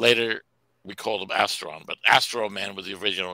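Against a quiet background, a man with a New York accent has a bright, sharp tone and a dry sound with no echo. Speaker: comic book creator. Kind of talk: casual chat. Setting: video call. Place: home room.

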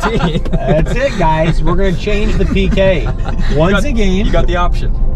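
Over noticeable background noise, a man talks at a moderate pace in a dry sound with no echo. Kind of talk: casual banter. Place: car.

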